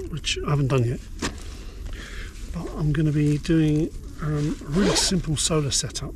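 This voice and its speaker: Whispering at a moderate pace, a man leaves long, frequent pauses, with audible room echo and noticeable background noise. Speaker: outdoor prepping vlogger. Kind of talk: casual vlog chat. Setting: outdoors under a tarp on a cliff at night. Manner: hesitant, many fillers.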